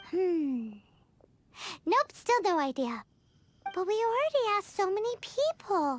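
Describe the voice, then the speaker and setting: This put-on character voice is squeaky and extremely high-pitched, with very wide pitch swings. It sounds energetic and moves at a fairly slow pace. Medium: video game. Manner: energetic, blunt.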